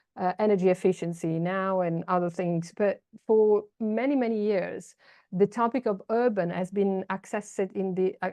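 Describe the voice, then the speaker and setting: The speaker has an Italian accent and fairly even intonation. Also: woman, medium pitch for a woman, moderate pace. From Italy. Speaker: urban policy expert. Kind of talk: online seminar talk. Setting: video call.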